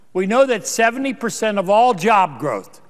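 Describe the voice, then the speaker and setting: Pitch varies in an ordinary way as a man talks with an American accent. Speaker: U.S. senator. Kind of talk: Senate floor speech.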